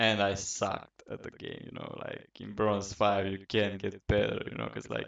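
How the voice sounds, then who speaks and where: A man's fairly low pitch with vocal fry and monotone, flat intonation at a fairly slow pace, in a Romanian accent. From Romania, Bucharest. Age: 20s. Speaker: gaming podcaster. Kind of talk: casual monologue. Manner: hesitant, many fillers.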